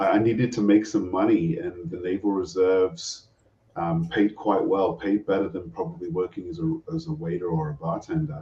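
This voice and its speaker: A fairly low-pitched man with a British accent, at a moderate pace, with very wide pitch swings. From England, moved to Canada as teen. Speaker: retired navy officer. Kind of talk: interview.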